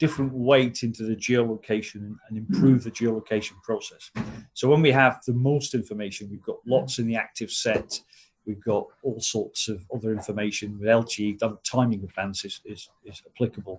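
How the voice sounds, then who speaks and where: Somewhat breathy, a man with a medium pitch talks with fairly even intonation and big swings in loudness. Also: fairly quick pace. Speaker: technical trainer. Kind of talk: online training session. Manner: fast.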